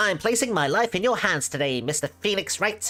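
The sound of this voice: A man puts on a character voice at a high pitch. He talks at a fairly quick pace, with faint music in the background.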